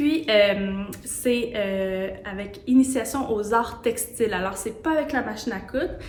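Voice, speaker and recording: A woman's fairly high voice with a Quebec accent, ordinary pitch variation, audible room echo and noticeable background noise. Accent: Québécois French. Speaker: sewing studio owner. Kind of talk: casual promotional talk. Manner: hesitant, many fillers.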